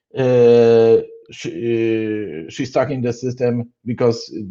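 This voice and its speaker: With a Polish accent, a man speaks at medium pitch in a dark, mellow tone with fairly even intonation. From Poland. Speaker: conference speaker on programming. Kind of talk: technical conference talk. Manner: halting, many fillers and restarts.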